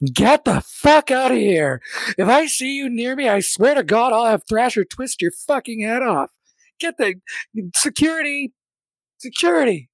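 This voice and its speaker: A man's put-on character voice, shrill and extremely high in pitch, with lively intonation at a moderate pace. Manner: shrieking, furious.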